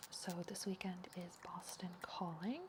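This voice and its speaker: A soft-spoken woman at a fairly low pitch, in a monotone, flat intonation. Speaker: ASMR streamer. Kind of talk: casual livestream talk to chat.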